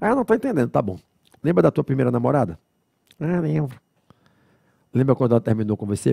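A man at a very fast pace, with very wide pitch swings, a dry sound with no echo and a quiet background. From Brazil. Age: 40s. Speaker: law lecturer. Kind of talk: lecture. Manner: didactic, conversational. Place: studio. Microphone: headset.

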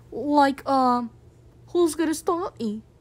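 A woman puts on a character voice pitched high. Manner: laid-back, taunting.

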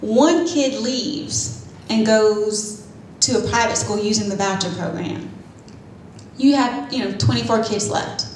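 Speaking very slowly, a woman uses a fairly high pitch and lively intonation. Light background noise and audible room echo fill the recording. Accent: American. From Pender County, North Carolina; North Carolina. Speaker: attorney and county commissioner; panelist. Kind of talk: panel talk. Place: meeting room.

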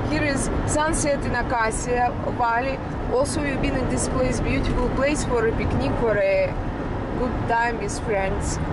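Over loud background noise, a woman speaks with ordinary pitch variation in a dry recording with no echo. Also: moderate pace. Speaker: passenger vlogger. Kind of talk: casual vlog chat. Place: car. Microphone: phone near.

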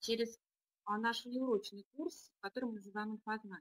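A woman's high-pitched voice in a dry, close recording with no echo. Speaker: deputy school director. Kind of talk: webinar presentation. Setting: online webinar.

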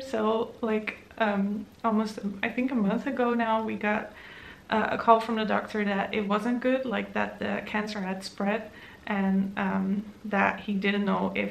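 Speaking at a fairly slow pace, a woman keeps her intonation fairly even. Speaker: book vlogger. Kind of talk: casual vlog chat. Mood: relieved after emotional news. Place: home room. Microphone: camera far.

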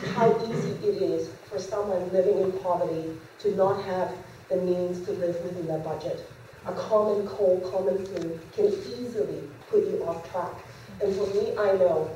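Audible room echo and light background noise surround a woman speaking with fairly even intonation. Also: moderate pace. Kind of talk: public speech. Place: hall. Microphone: podium.

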